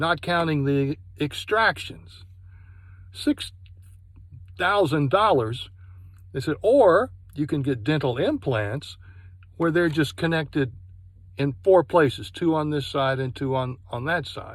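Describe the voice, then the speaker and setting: A somewhat breathy man at a fairly high pitch, fairly slow pace and lively intonation, with long, frequent pauses. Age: 60s. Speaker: product reviewer. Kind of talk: personal testimony review.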